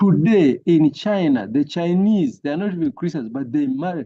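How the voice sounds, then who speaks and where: This man speaks with a high pitch and lively intonation. He keeps a moderate pace. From Uganda. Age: 70s. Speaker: family life educator. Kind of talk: online workshop talk.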